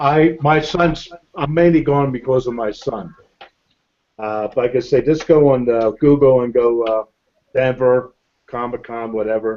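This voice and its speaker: This man talks at a fairly slow pace with long, frequent pauses. His pitch is medium, with ordinary pitch variation. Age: 60s. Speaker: hangout participant. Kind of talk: casual chat.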